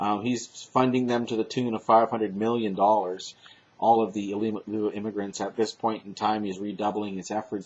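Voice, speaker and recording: This man talks at a fairly quick pace, keeping his intonation fairly even. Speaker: political commentary vlogger. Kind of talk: casual monologue. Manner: loud; halting.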